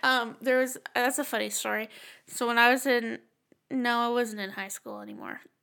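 On a very clean recording with a silent background, a woman speaks at a moderate pace in a high pitch with a bright, sharp tone. She sounds animated, and her loudness swings widely. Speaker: podcast co-host. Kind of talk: casual banter. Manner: animated, joking, profane.

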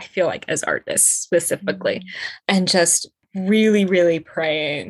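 A woman with a General American accent speaks in an unremarkable speaking voice at medium pitch and a moderate pace. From Colorado. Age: 20s. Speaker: entrepreneur and professional dancer. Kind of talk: casual chat.

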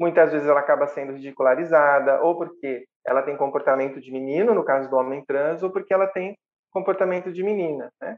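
A woman's very deep, low voice at a fairly quick pace, with big swings in loudness and ordinary pitch variation. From Brazil, small town, partly raised in São Paulo. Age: 40s. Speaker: psychologist, municipal official. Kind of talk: casual interview chat.

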